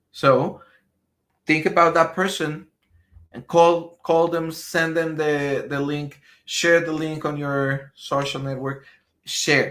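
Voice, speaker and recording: Speaking in a Spanish accent, a man with a fairly high pitch uses a monotone, flat intonation. His pace is very slow, with long, frequent pauses. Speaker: business marketing trainer. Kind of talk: live stream training. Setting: live stream. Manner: halting, many repetitions.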